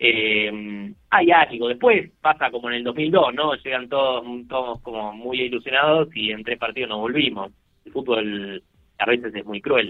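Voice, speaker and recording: A man with a plain, everyday voice, medium pitch, ordinary pitch variation, big swings in loudness and a fairly slow pace. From Argentina. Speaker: poker industry businessman, former pro player. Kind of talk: interview.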